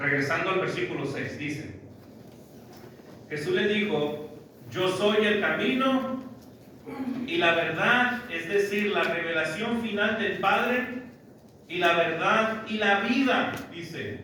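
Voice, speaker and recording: A high-pitched man speaks very slowly in a raised, projected voice with lively intonation and long, frequent pauses. Room echo is audible, and there is noticeable background noise. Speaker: preacher. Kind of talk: sermon.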